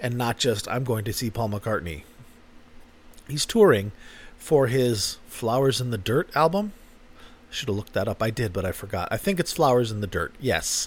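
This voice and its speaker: A man talks in a somewhat breathy voice, with long, frequent pauses. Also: medium pitch for a man, moderate pace. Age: 50s. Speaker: podcast host. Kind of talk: casual monologue.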